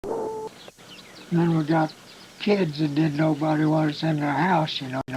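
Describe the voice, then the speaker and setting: Over noticeable background noise, a man with an American accent speaks in a fairly high pitch. His intonation is monotone and flat, and his pace fairly slow. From south central Illinois, USA. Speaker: farmer. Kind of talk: oral history interview answer.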